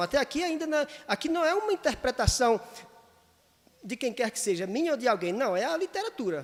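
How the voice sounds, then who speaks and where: Against noticeable background noise, a man talks at a very fast pace in an animated tone, his pitch swinging very widely. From Northeast Brazil. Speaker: pastor. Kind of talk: sunday school Bible lesson. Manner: firm, emphatic tone that sounds imperative; animated, gets carried away.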